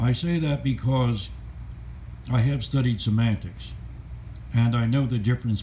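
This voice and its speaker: A man speaks with an American accent at medium pitch and a fairly slow pace, with ordinary pitch variation. His voice is somewhat breathy, with a dark, mellow tone. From US South, Stuart, Florida. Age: 70s. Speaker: adventurer and video blogger. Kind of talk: personal monologue.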